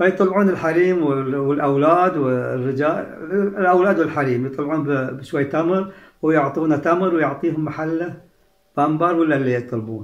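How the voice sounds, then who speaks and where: A man with a fairly high voice speaks at a moderate pace, his pitch rising and falling in an ordinary way, with audible echo in the room. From Saudi Arabia, Al-Ahsa (Eastern Province). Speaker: heritage researcher and author. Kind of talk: interview.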